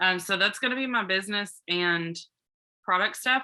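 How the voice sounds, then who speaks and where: A woman's medium-pitched voice moves at a fairly quick pace, its pitch varying in an ordinary way. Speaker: homeschooling mom and content creator. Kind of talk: casual online group coaching session. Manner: animated.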